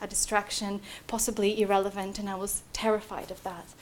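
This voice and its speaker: A woman's fairly high voice at a very fast pace. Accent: Bulgarian. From Bulgaria. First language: Bulgarian. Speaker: PhD student. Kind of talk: talk to prospective students. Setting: room with live audience. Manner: hesitant, many fillers.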